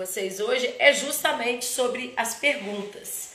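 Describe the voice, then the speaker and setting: Audible room echo mixes with noticeable background noise throughout the clip. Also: woman. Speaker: therapist hosting live talk. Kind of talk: live stream talk. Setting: Instagram live. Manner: halting, many false starts.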